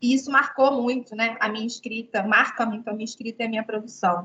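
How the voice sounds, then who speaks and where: A woman with a plain, everyday voice. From Rio de Janeiro, Baixada Fluminense (Brazil). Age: 30s. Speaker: writer. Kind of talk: online talk to students. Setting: video call.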